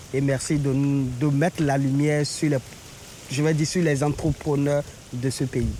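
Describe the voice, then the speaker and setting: A man's fairly high voice in monotone, flat intonation with very even loudness. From Benin. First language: Beninese local language (speaking French). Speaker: travel agency owner. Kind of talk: interview. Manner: halting.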